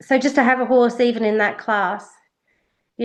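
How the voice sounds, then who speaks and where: An Australian accent at a moderate pace, with fairly even intonation. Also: woman. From Western Australia, Perth. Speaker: racehorse industry worker. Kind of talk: interview. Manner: hesitant, many fillers.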